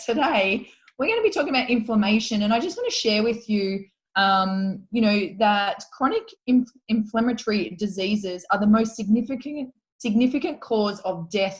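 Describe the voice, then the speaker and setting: A woman with an Australian accent speaks at a moderate pace with a fairly high, somewhat breathy voice. Her pitch varies in an ordinary way. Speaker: podcast co-host. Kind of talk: casual podcast chat.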